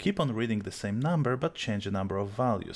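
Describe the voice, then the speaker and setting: A man talks with a strong Polish accent. His intonation is lively. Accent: thick Polish. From Poland. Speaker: video tutorial creator. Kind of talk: software tutorial.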